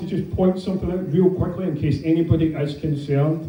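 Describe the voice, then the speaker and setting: With a Scottish accent and fairly even intonation, a man talks at a fairly quick pace amid audible room echo and noticeable background noise. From Scotland. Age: 30s. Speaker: comedian. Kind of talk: stand-up.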